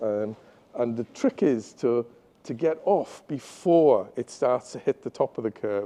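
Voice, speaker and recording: A man talks at a medium pitch with ordinary pitch variation. His tone is dark and mellow. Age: 60s. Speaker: school chief academic officer. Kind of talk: interview. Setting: live stream. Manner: hesitant fillers.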